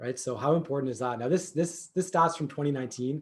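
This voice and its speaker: Somewhat breathy and fairly high-pitched, a man talks with a Canadian accent. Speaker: digital marketing agency founder. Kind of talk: workshop presentation. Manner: fast; many filler words.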